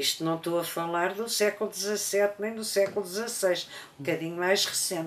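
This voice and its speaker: Over noticeable background noise, a woman speaks fairly quickly with fairly even intonation. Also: medium pitch for a woman. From Portugal, Lisbon. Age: 80s+. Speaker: interviewee sharing life story. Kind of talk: testimony. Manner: halting, many hesitations.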